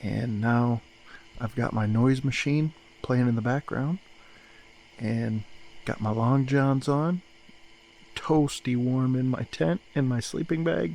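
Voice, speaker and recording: A very slow pace broken by long, frequent pauses. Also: man, medium pitch for a man, ordinary pitch variation. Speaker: hiking vlogger. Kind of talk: casual vlog to camera. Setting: in a tent; outdoors, campsite. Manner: quiet.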